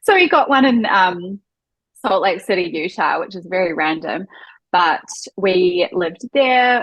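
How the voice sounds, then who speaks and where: With a New Zealand accent, a woman speaks at a fairly slow pace in a medium pitch with ordinary pitch variation. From New Zealand, Auckland. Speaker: wedding photographer. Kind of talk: podcast interview.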